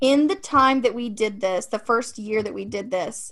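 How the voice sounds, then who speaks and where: A woman with an American accent, fairly high in pitch, with a bright, sharp tone and a moderate pace. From Ohio, US Midwest. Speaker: marketing and branding business owner. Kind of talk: casual interview chat. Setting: video call.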